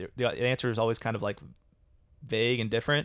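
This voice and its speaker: A man with a medium-pitched voice is heard in a very clean recording with a silent background and a dry, close sound with no echo. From Kentucky, Louisville. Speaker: podcast co-host. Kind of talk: casual chat. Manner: halting, many fillers.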